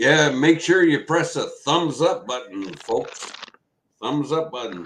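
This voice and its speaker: The pace is very slow, with lively intonation. Vocal fry runs through the voice. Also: man, fairly high pitch for a man. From western Canada. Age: 60s. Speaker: software architect. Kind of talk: casual chat.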